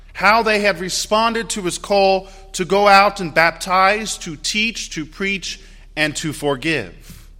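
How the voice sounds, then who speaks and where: A man's raised, projected voice with a Midwestern accent, high in pitch, with ordinary pitch variation. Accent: US Midwest (Ohio). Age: 30s. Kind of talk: Sunday Mass homily, warm personal introduction to new parish. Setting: church during Mass. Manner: conversational and self-deprecating, light laughs at own jokes.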